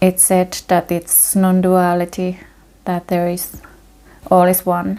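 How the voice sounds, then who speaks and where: A woman with a non-native accent speaks at a very slow pace in a dark, mellow tone. Her medium-pitched voice has monotone, flat intonation. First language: not English. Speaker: meditation teacher. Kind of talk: guided meditation. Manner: halting.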